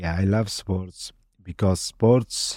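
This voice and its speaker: A man with an Afghan accent, a fairly low pitch, a dark, mellow tone, fairly even intonation and a fairly slow pace. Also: dry, close sound with no echo, very clean recording, silent background. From Afghanistan. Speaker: army veteran and cook. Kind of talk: casual interview. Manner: halting, searching for words.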